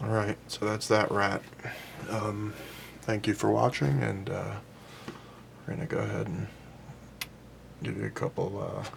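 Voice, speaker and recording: Amid noticeable background noise, a soft-spoken man mumbles at a moderate pace with long, frequent pauses. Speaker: clay sculptor. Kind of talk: tutorial. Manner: mumbling.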